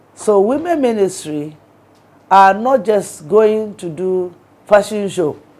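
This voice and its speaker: Very slow, lively speech from a woman with a medium-pitched, dark and mellow voice. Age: 60s. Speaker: archbishop. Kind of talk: interview.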